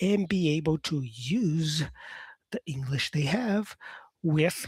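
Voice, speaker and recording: A man's voice with lively intonation, dry and close with no echo. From Brazil. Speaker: English teacher. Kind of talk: live stream Q&A with chat. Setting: live stream. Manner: casual, halting with self-corrections.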